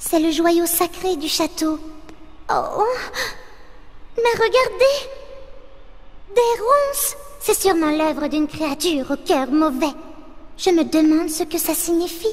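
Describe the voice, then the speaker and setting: A put-on character voice sounds female and extremely high-pitched. It moves at a fairly slow pace with long, frequent pauses over clear background noise. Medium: fan dub. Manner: polite, regal.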